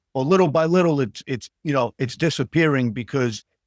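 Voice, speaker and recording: The recording is very clean with a silent background and a dry, close sound with no echo. The delivery has ordinary pitch variation and a moderate pace. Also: man. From New York City, Queens. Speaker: actor. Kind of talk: casual interview chat. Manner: halting, many fillers.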